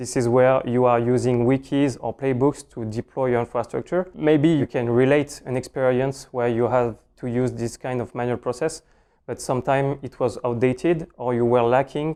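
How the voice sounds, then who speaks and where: Over a quiet background, a man with a French accent talks at a moderate pace and medium pitch, his tone dark and mellow and his intonation fairly even. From France. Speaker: cloud solutions architect, conference speaker. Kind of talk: technical conference talk. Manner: hesitant, many fillers.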